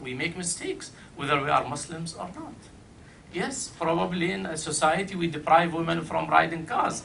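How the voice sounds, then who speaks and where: With an Arabic accent, a man speaks at a high pitch and a moderate pace, with ordinary pitch variation and big swings in loudness. Background noise is noticeable, and room echo is audible. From Iraq. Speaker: panel speaker. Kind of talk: panel talk.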